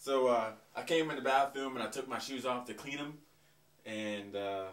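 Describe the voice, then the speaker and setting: Audible room echo around a man's voice, moderate pace. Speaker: comedy sketch actor. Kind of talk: scripted comedic dialogue. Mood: casual, slightly defensive. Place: home room.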